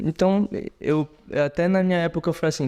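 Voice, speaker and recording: This man, in a normal speaking voice, talks at a fairly quick pace with ordinary pitch variation on a very clean recording with a silent background. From Brazil, Pará (Marabá). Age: 30s. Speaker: surgeon. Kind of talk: interview conversation.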